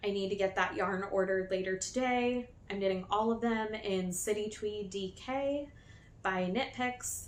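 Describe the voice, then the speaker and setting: A woman at a fairly slow pace, fairly high-pitched with ordinary pitch variation, in a room with audible echo. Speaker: knitting podcaster. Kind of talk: casual podcast chat. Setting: new filming location.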